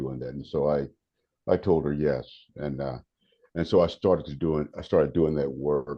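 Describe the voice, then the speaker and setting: Vocal fry marks this man's very deep, low voice. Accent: American. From North Carolina, Raleigh. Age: 70s. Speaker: meditation teacher and prison volunteer. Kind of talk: podcast interview. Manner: halting, repeats words.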